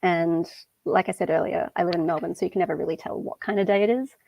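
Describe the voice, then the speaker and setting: The speech has lively intonation and an Australian accent. The sound is dry and close with no echo, over a quiet background. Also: woman. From Western Australia. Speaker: conference speaker. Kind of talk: conference talk. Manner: casual.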